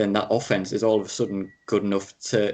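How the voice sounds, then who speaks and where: This man has a British accent and a fairly low pitch. He talks at a moderate pace. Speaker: podcast co-host. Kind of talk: casual chat.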